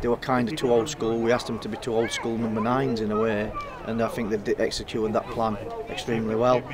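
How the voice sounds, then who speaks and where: A man at a very fast pace, dry sound with no echo, crowd noise in the background. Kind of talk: interview answer. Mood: pleased after a win.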